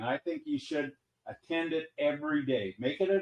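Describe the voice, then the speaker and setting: This man speaks with lively intonation. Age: 70s. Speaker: crypto investor. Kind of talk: casual chat.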